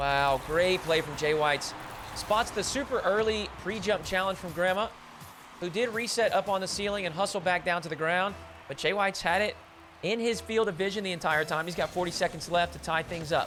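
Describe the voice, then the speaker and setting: Amid noticeable background noise, a man talks at a fairly quick pace and a high pitch. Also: ordinary pitch variation. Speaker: esports caster. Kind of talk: casual chat; live commentary. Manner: animated.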